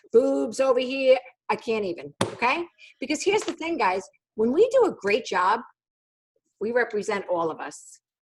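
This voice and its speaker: A woman with a high pitch speaks at a moderate pace, with very wide pitch swings, big swings in loudness and long, frequent pauses. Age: 50s. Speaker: sales team leader. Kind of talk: training session. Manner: animated.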